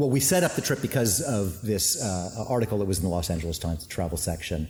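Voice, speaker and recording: Very fast and somewhat breathy, a man speaks in a dark, mellow tone. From USA, moved from Canada at age five. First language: Finnish. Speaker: winemaker and winery owner. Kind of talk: casual interview. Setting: winery tank room. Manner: hesitant, many fillers.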